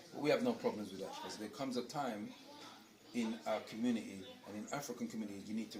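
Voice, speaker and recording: Very fast and with big swings in loudness, a man talks amid noticeable background noise and audible room echo. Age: 60s. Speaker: community school elder and teacher. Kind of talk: interview storytelling. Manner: animated.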